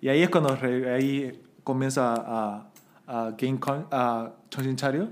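A man's medium-pitched voice, with ordinary pitch variation, moves along very slowly, broken by long, frequent pauses. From Bolivia. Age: 30s. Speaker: podcast guest. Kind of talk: casual chat.

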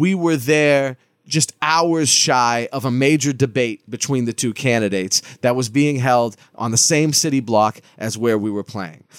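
With an American accent and an unremarkable speaking voice, a man talks at a fairly slow pace with medium pitch and ordinary pitch variation, recorded very cleanly against a silent background with a dry, close sound and no echo. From Massachusetts (Lawrence). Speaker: funk keyboardist and author. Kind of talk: casual chat.

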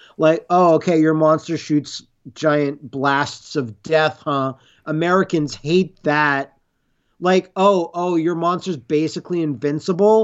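In a normal speaking voice, a man talks at a fairly high pitch. His pace is fairly slow and his intonation fairly even. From Canada, Montreal. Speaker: video creator covering monster movies. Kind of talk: casual chat. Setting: remote call.

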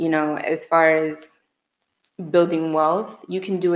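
An unremarkable speaking voice from a woman with an American accent, fairly low in pitch, at a moderate pace with fairly even intonation. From Orlando, Florida. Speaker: realtor. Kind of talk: interview answers. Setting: studio.

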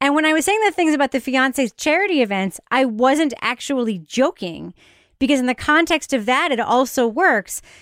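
A woman speaks at a high pitch in an animated tone, with very wide pitch swings. Her loudness stays very even, on a very clean recording with a silent background. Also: moderate pace, dry, close sound with no echo. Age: 40s. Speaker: true crime podcast host. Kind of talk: casual chat; scripted narration.

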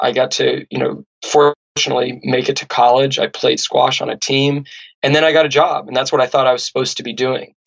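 A man speaks with a Californian accent. His pace is fairly quick. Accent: General American (Californian). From US West Coast (Santa Barbara, California). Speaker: podcast host, author, former pro squash player. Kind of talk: interview conversation.

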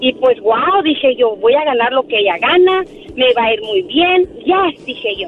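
Music plays behind a woman whose high voice takes very wide pitch swings at a fairly slow pace. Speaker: caller. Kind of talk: personal testimony on call-in show. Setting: phone call.

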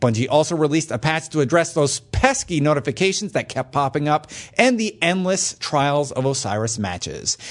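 A man's fairly high-pitched, normal speaking voice, lively in intonation, at a fairly quick pace with hardly any pauses. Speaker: podcast host. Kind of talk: casual chat about games with news segment.

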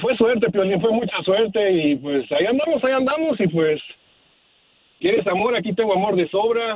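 A man with a high-pitched voice talks at a moderate pace with lively intonation over noticeable background noise. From Mexico, Puebla. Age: 30s. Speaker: caller. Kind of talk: casual chat.

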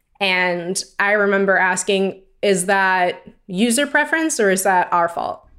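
In a New York accent, a woman with a medium pitch talks at a fairly slow pace, her bright, sharp tone carried by lively intonation on a very clean recording with a silent background. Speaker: tech product director. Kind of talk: interview.

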